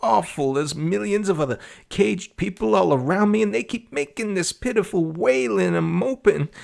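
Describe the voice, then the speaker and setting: In a put-on character voice, a man speaks at a moderate pace, high and shrill, with very wide pitch swings. The recording is very clean, with a silent background. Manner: panicked.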